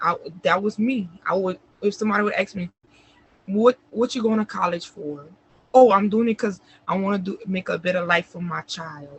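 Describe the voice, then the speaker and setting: Long, frequent pauses break up a woman's speech at a moderate pace. Her pitch is medium, with ordinary pitch variation. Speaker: interview guest sharing life story. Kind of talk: casual interview, personal testimony. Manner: soft-spoken.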